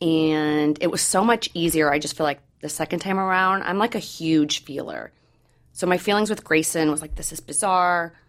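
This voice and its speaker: A woman with an American accent, fairly low-pitched, at a moderate pace with ordinary pitch variation, an ordinary speaking voice. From Missouri. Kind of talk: personal testimony in interview.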